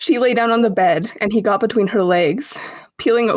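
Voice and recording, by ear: The passage is read aloud in a natural voice, and its pitch rises and falls in an ordinary way.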